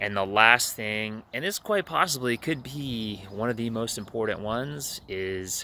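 The voice has a bright, sharp tone and ordinary pitch variation, recorded dry with no echo. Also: man. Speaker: life coach vlogger. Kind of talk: casual vlog chat. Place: waterside. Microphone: earbuds.

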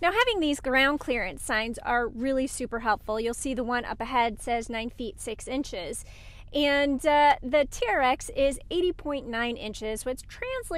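Her voice is high-pitched, a woman speaking at a moderate pace with lively intonation in a dry sound with no echo. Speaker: automotive journalist. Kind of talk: casual vlog commentary. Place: car. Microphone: phone near.

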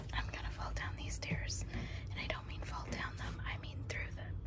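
Soft-spoken whispering at a moderate pace over loud background noise. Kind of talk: casual vlog chat. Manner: soft ASMR whisper while climbing. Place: home room. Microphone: phone near.

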